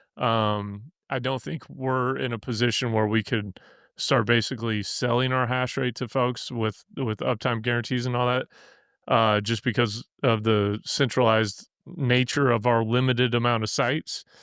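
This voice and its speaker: In a Missouri accent, a man of medium pitch keeps fairly even intonation on a very clean recording with a silent background. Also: moderate pace. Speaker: podcast host and bitcoin miner. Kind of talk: casual interview chat. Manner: halting, many fillers and restarts.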